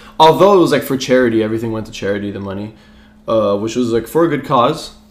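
At a very fast pace, a man speaks at medium pitch with music in the background. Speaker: sports podcast co-host. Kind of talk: casual chat. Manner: casual, chatty.

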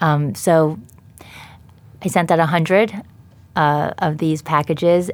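A woman's very deep, low voice with an American accent and ordinary pitch variation. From New York, Long Island. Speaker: dietitian and company founder. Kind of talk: interview. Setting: studio.

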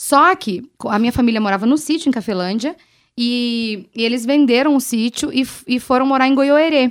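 Lively intonation carries the moderate-paced speech on a very clean recording with a silent background. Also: woman. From Brazil, western Paraná. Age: 30s. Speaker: radio host. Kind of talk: casual chat. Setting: bar table.

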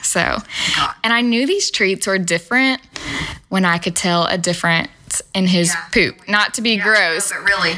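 A woman at a medium pitch and moderate pace, with ordinary pitch variation and noticeable background noise. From Nashville, Tennessee (Antioch). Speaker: small business owner, dog treat baker. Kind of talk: casual chat. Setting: in person, host's office.

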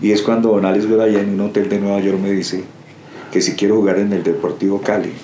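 Delivered at a very fast pace in a monotone, flat intonation, the speech holds a very even loudness, with audible room echo and noticeable background noise. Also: man, fairly low pitch for a man. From Colombia, Bogotá. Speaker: retired footballer. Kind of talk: interview. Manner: halting.

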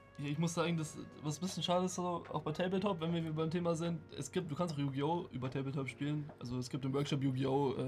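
A man's fairly high voice at a very fast pace, with ordinary pitch variation and music in the background. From Germany. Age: 20s. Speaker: occasional streamer and game designer. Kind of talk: casual chat.

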